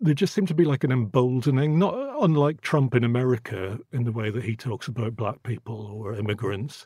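A man speaks at a fairly quick pace with hardly any pauses, in a medium pitch and a dark, mellow tone that is somewhat breathy. The recording is very clean, with a silent background. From Northern Ireland. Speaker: photographer. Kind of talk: interview. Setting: studio.

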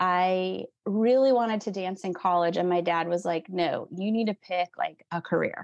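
A woman talks with an ordinary speaking voice at a fairly slow pace. Her intonation is fairly even over a quiet background. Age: 40s. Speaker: nutritionist and aerial dance company co-founder. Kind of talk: casual interview chat.

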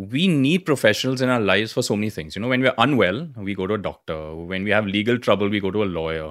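In a very clean recording with a silent background, a man with a fairly low pitch rattles along at a very fast pace with lively intonation and hardly any pauses. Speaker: podcast host. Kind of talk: casual interview.

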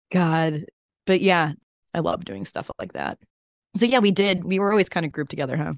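A woman with an American accent talks at a fairly quick pace in an animated tone, her fairly low voice showing vocal fry and ordinary pitch variation. She leaves long, frequent pauses against a quiet background. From Chicago, US Midwest. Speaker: podcast interviewer, former TV reporter. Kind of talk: casual chat.

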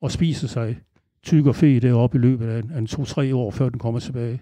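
This man's voice carries a dark, mellow tone at a medium pitch. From Denmark, Aarhus. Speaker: angler. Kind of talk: interview. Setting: local venue.

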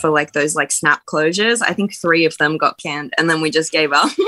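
Against a quiet background, a woman in an Australian accent speaks fairly quickly with a very deep, low pitch and a bright, sharp tone. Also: dry, close sound with no echo. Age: 20s. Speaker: musician. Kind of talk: casual chat.

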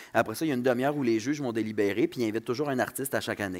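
A speaker with a Saguenay accent talks at a very fast pace, with ordinary pitch variation. The recording is very clean, with a silent background. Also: man. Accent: Saguenay Quebec French. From Quebec, Saguenay. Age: 20s. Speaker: comedian. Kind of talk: casual chat. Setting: stage with audience.

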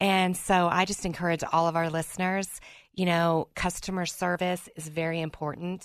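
Here a woman talks at a moderate pace with a fairly low pitch. The background is quiet. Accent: Southern US. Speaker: podcaster and title processor. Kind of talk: casual radio interview. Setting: studio.

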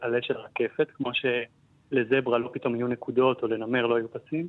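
Monotone, flat intonation marks this man's speech. He talks at a fairly quick pace. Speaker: botanist. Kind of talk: interview. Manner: halting.

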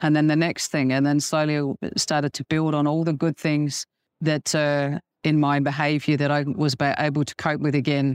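A woman with an Australian accent speaks in a very deep, low voice at a moderate pace, her intonation monotone and flat. The recording is very clean and dry, with a close sound, no echo and a silent background. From Adelaide, Australia. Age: 50s. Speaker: churchgoer sharing healing testimony. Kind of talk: testimony interview. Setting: convention venue.

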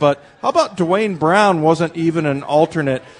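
Noticeable background noise behind a moderate pace and ordinary pitch variation. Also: man. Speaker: radio host. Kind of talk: live sports radio show. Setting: live show at a restaurant bar. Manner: conversational.

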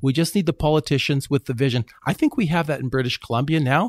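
A man with a Canadian accent speaks in an ordinary speaking voice at a medium pitch with ordinary pitch variation. The recording is very clean and dry, close, with no echo and a silent background. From Canada. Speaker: company CEO. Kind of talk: interview.

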